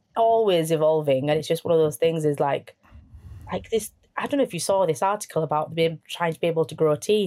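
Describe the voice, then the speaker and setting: Her voice dark and mellow, a woman talks at a fairly quick pace with a fairly low pitch and ordinary pitch variation. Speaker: dentist. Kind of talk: casual chat.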